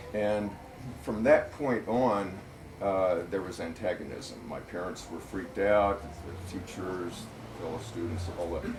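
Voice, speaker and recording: Speaking fairly slowly with an American accent, a man with a very deep, low pitch swings widely in loudness amid audible room echo and noticeable background noise. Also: ordinary pitch variation. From US Midwest (Missouri Ozarks). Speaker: author and political writer. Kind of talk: public talk at a bookstore. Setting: bookstore event with audience. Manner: hesitant, many fillers.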